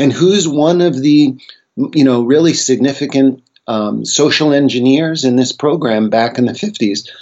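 In a plain, everyday voice, a man with an American accent speaks at a fairly slow pace, his fairly high pitch showing ordinary variation. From United States. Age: 60s. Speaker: psychedelic researcher and author. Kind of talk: interview conversation.

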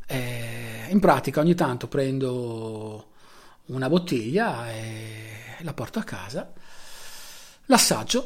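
There is noticeable background noise behind the voice. A man speaks with very wide pitch swings. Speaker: solo podcaster. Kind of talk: late-night personal monologue. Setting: recording at night with video on.

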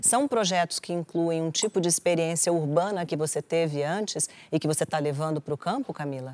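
A soft-spoken, calm voice at a fairly quick pace with ordinary pitch variation, in a very clean recording with a silent background, dry and close with no echo. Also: woman, fairly low pitch for a woman. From Brasília. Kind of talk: interview talk show. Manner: soft, calm.

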